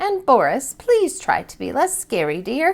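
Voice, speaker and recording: A female-sounding voice uses a put-on character voice with an extremely high pitch and a gentle tone. She speaks at a moderate pace. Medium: read story.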